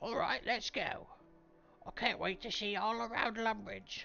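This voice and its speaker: A put-on character voice at a fairly high pitch and a moderate pace. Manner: eager, ready to go.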